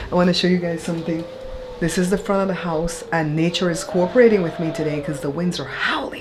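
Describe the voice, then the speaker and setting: Talking at a very fast pace, a woman with a fairly low pitch and fairly even intonation is heard over noticeable background noise and audible room echo. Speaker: YouTuber giving content creation tips. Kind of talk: tutorial. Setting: home office. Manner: casual.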